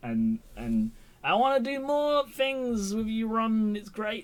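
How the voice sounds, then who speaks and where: This is a man's voice. He speaks with an English accent. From England. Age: 20s. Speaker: YouTube TV reviewer. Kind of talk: live stream chat. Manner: halting.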